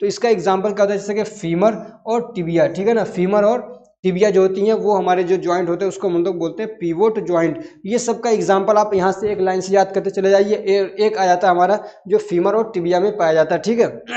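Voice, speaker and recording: A high-pitched man's voice at a moderate pace, with fairly even intonation and audible room echo. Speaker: teacher. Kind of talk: lecture. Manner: conversational with frequent fillers.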